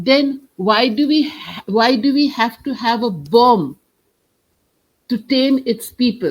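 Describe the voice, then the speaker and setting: A woman speaks with a Bengali accent. Her pitch is high and her pace very slow. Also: lively intonation. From India, Kolkata. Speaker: writer and poet. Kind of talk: interview.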